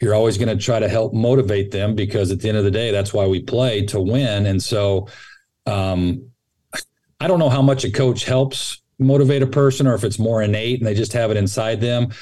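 In an American accent, a man with a medium pitch and a dark, mellow tone speaks somewhat breathily at a fairly quick pace, with ordinary pitch variation and very even loudness. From Northern California (Sacramento). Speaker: college baseball coach turned athletic director. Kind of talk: casual interview.

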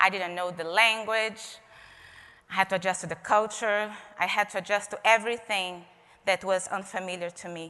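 With a Portuguese accent, a woman talks at a medium pitch in a monotone, flat intonation while her loudness swings widely. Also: moderate pace. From Brazil, Rio de Janeiro. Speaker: expressive arts therapist. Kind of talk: keynote talk. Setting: stage with audience.

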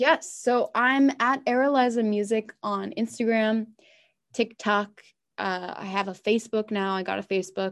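Over a quiet background, a woman with an American accent talks at a moderate pace, with a fairly high pitch and ordinary pitch variation. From New York area (Long Island). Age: 20s. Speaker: singer-songwriter. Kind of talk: casual interview. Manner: animated, laughs often.

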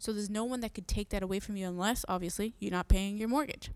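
On a very clean recording with a silent background, a woman uses an unremarkable speaking voice with medium pitch and fairly even intonation. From Massachusetts (Merrimack Valley), Puerto Rican family. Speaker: real estate agent, podcast host. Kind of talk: casual monologue. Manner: frequent fillers (um).

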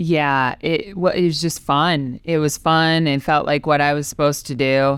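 A woman speaks with an Upper Midwest accent in a very deep, low pitch. Her intonation is fairly even, and the recording is very clean with a silent background. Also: moderate pace, hardly any pauses. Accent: Upper Midwest (Minnesota). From Minnesota, New Ulm. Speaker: softball tournament director, former pitcher. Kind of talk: interview.

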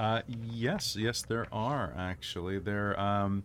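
The intonation stays fairly even in this plain reading aloud.

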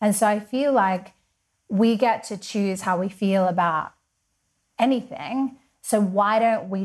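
A woman speaks with an Australian accent. Her delivery is fairly slow and somewhat breathy. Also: very clean recording, silent background. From Western Australia (Perth). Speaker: women's empowerment coach, podcaster. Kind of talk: casual interview chat.

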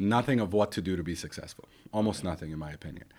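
A man speaks at a very fast pace. His pitch is very deep and low, with ordinary pitch variation. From Iran (Shiraz), left at nine. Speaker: real estate agent. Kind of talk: interview.

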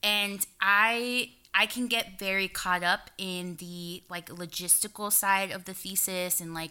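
A woman with an American accent talks at a very slow pace and medium pitch, with a bright, sharp tone. Her intonation is monotone and flat, on a very clean recording with a silent background. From South Texas, Rio Grande Valley border town. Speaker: poet and teaching artist. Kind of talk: interview.

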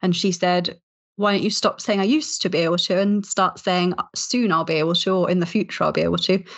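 A woman speaks at a very fast pace with ordinary pitch variation. Her loudness stays very even throughout. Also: medium pitch for a woman. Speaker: chief reporter. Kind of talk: casual chat. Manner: animated, humorous.

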